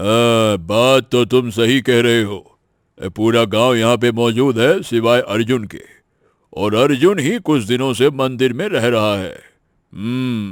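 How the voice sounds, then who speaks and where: A cartoonish character voice from a man, medium in pitch, at a moderate pace on a very clean recording with a silent background. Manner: gruff, commanding.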